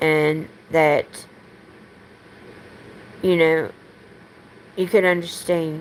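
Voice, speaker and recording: Her voice sits at a fairly low pitch, and she speaks with an American accent. This woman talks at a very slow pace. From American South.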